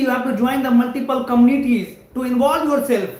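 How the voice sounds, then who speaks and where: A man's extremely high voice at a moderate pace, fairly even in intonation, with noticeable background noise and audible room echo. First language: Hindi or another Indian language. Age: 20s. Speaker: network engineering trainer. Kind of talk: live stream career talk.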